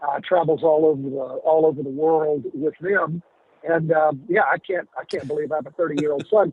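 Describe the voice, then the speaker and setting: Delivered at a moderate pace, an unremarkable speaking voice carries fairly even intonation. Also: man, fairly high pitch for a man. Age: 60s. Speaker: attorney and university board member. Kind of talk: radio interview.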